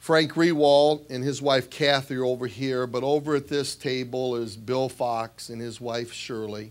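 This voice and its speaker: A man with a Midwestern American accent and a medium pitch talks at a fairly slow pace. His intonation is fairly even, with hardly any pauses. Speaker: basketball coach. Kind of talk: speech at an awards dinner. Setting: banquet hall with audience.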